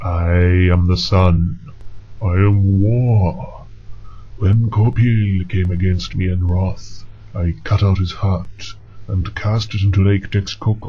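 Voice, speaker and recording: A man uses a put-on character voice at a very deep, low pitch and a fairly slow pace. Clear background noise is present. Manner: grandiose, booming.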